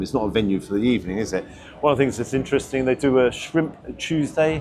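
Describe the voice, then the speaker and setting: Speaking at a very fast pace, a man talks with an English accent. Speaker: food reviewer. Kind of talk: casual vlog review. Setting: restaurant. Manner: hesitant; loud.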